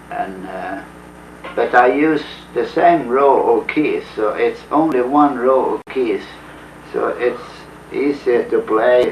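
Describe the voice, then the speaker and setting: A man speaks at a very slow pace with a Swedish accent. Noticeable background noise runs under his voice. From Sweden, Uppland. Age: 50s. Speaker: folk musician. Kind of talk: interview.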